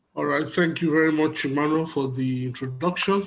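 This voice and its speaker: Here a man talks at a fairly quick pace with a fairly high pitch. His intonation stays fairly even. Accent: Nigerian. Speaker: conference moderator. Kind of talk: online conference moderation.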